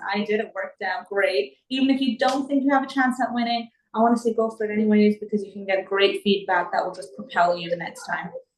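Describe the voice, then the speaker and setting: With an American accent, a woman talks at a very fast pace with hardly any pauses. Her voice is somewhat breathy, with ordinary pitch variation. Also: fairly high pitch for a woman, big swings in loudness. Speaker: property investor. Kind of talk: interview.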